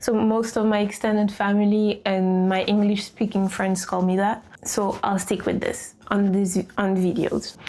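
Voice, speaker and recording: A woman with a French accent speaks at a fairly slow pace and a medium pitch. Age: 20s. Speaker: lifestyle vlogger. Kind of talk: casual planning vlog talk.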